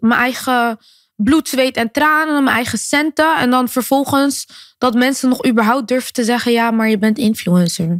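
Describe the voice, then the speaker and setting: At a moderate pace, the voice comes across dry with no echo, its pitch varying in an ordinary way and its loudness held very even over a quiet background. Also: woman, high pitch for a woman. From Netherlands, Rotterdam; Netherlands. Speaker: singer and influencer; podcast guest. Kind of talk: interview. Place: studio. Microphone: studio mic.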